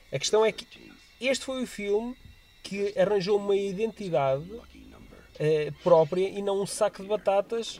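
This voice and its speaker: Someone with a European Portuguese accent speaks at a fairly slow pace over noticeable background noise. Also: man, high pitch for a man, ordinary pitch variation. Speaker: podcast co-host. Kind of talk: casual chat.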